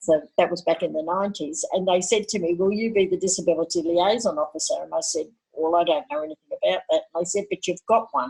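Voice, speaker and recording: A woman with an Australian accent, fairly low in pitch with ordinary pitch variation, going at a very fast pace with hardly any pauses. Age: 60s. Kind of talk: podcast interview.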